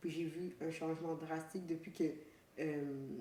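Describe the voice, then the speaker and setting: Audible room echo surrounds a woman speaking at a fairly slow pace. Her voice is fairly low, with monotone, flat intonation. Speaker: podcast co-host. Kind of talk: casual chat.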